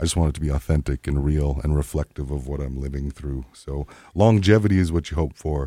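A man talks at a moderate pace with a very deep, low pitch and a dark, mellow tone. The sound is dry and close with no echo, in a very clean recording with a silent background. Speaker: singer-songwriter. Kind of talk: casual interview chat. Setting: studio.

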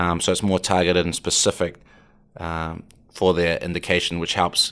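With a New Zealand accent, a man speaks in a very deep, low pitch and a monotone, flat intonation over a very clean recording with a silent background. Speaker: startup co-founder. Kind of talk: interview.

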